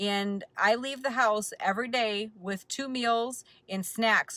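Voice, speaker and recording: A woman's bright, sharp tone with ordinary pitch variation, dry with no echo, against a quiet background. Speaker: keto vlogger. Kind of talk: casual vlog chat. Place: car. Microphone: phone near.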